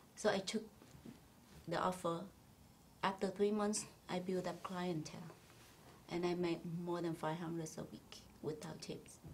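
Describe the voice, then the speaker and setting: Somewhat breathy and fairly low-pitched, a woman talks at a moderate pace in a monotone, flat intonation with long, frequent pauses. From Vietnam. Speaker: spa owner. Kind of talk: interview.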